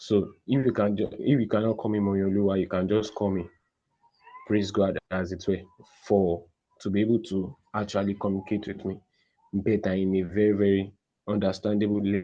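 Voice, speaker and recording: A man with a Nigerian accent talks at a moderate pace, his pitch fairly low. His intonation is monotone and flat. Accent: Nigerian (Yoruba) English. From Nigeria, Osun State (Yoruba). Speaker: podcast guest. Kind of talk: interview. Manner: soft-spoken.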